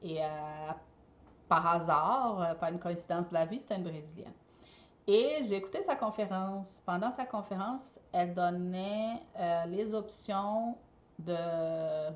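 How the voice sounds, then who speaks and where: A woman with a Brazilian accent speaks at a very slow pace and a medium pitch. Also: ordinary pitch variation. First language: Portuguese (speaking French). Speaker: eco party decorator and entrepreneur. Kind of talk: personal storytelling vlog. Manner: hesitant, many fillers.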